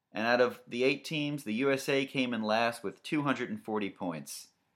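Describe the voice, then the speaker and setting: Recorded very cleanly against a silent background, a man talks in an ordinary speaking voice. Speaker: comedy radio-style podcast host. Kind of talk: stand-up style comedic monologue riffing on news, crude jokes and dating profile readouts. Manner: mock radio-DJ patter.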